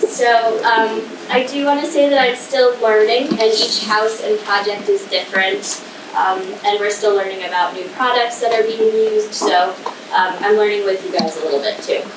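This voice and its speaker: At a moderate pace, a woman with a fairly high voice and ordinary pitch variation speaks over noticeable background noise and audible room echo. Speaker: state historic preservation administrator. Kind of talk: presentation. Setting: community hall presentation with audience, no microphone. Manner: loud.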